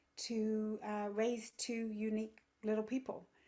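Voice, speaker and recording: Speaking fairly slowly, a woman with an English accent uses a fairly high pitch. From England. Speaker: yoga teacher and parenting coach. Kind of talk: podcast interview.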